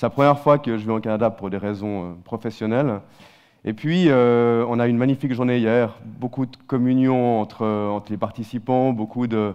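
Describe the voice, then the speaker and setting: A man speaks at a medium pitch with a Swiss accent. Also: fairly even intonation, moderate pace. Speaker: company CEO, conference speaker. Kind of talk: keynote talk. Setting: stage with audience.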